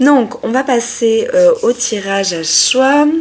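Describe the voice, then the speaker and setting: Noticeable background noise accompanies a woman speaking with lively intonation. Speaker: tarot reader. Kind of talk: tarot reading video. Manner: sometimes loud; hesitant, many fillers.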